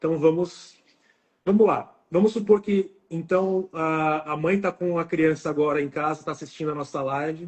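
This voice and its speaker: This man has a fairly high pitch and fairly even intonation. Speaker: oral and maxillofacial surgeon. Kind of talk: live stream interview. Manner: fast.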